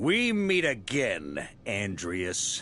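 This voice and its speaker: Using a put-on character voice, a man sounds raspy and calm at medium pitch with very wide pitch swings, over clear background noise. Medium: video game. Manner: calm, measured.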